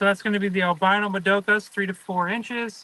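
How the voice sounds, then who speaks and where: A man's raised, projected voice, high in pitch, bright and sharp in tone, with fairly even intonation and a dry, close sound free of echo. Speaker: aquarium fish seller. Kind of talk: live stream sales talk. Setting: greenhouse.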